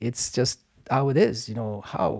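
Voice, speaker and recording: A man with an Afghan accent speaks in a dark, mellow tone at a moderate pace. The recording is very clean with a silent background, and his pitch variation is ordinary. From Afghanistan. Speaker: martial arts instructor and stuntman. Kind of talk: casual interview conversation. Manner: warm, grateful, polite.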